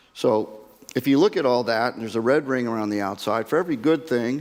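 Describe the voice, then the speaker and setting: A man's pitch shifts in an ordinary way. His delivery is fairly quick. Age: 60s. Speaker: oil and gas industry executive. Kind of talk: conference talk. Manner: halting, with repeated words.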